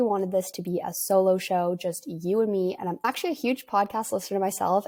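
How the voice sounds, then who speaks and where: At a fairly quick pace, a woman with a western Canadian accent speaks at a medium pitch. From western Canada, near Vancouver. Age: 20s. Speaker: podcast host, entrepreneur. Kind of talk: casual solo podcast storytelling.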